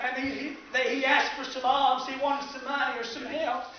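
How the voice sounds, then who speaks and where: In a Southern US accent, a man speaks at a moderate pace with an extremely high pitch and monotone, flat intonation. Noticeable background noise and audible room echo are present. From US South, East Tennessee. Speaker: preacher. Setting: church service with live congregation. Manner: fervent, building preacher cadence, driving through repeated phrases; constantly answered by amens and shouts from listeners. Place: church. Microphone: camera far.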